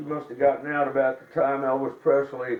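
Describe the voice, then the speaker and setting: A man with an American accent speaks in a fairly high pitch over noticeable background noise. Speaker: newspaper reporter. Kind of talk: oral history interview.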